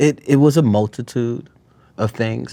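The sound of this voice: A man's fairly low, dark and mellow voice with vocal fry and lively intonation, at a fairly slow pace, on a very clean recording with a silent background.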